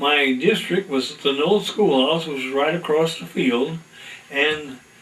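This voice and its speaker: Fairly high male voice with an American accent, ordinary pitch variation and noticeable background noise. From US Midwest, northeast Indiana. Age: 90s. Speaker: retired farmer. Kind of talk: oral history interview. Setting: at home. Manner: halting.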